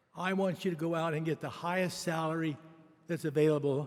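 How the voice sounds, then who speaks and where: A man with an American accent and a high pitch, with ordinary pitch variation and a moderate pace. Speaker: university donor. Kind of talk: convocation speech. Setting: arena ceremony. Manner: halting.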